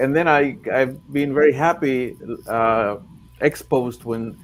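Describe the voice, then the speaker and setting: With a Spanish accent, a man talks at a fairly slow pace in a medium pitch with ordinary pitch variation. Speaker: translator and poet. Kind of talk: panel discussion. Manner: halting, many repetitions.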